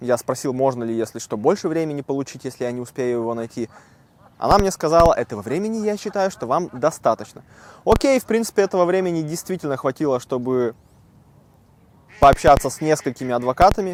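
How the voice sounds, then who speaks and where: Talking very fast in a fairly high pitch, a man uses lively intonation and takes long, frequent pauses. The sound is dry and close, with no echo. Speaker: vlogger. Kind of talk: casual vlog talk. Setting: outdoors in a park. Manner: conversational, informal.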